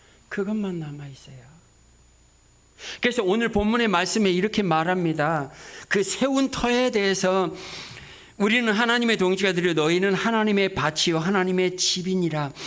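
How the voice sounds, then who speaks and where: Over audible room echo, a man with a high pitch speaks at a moderate pace, his pitch varying in an ordinary way and his speech broken by long, frequent pauses. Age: 60s. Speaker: missionary. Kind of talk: sermon.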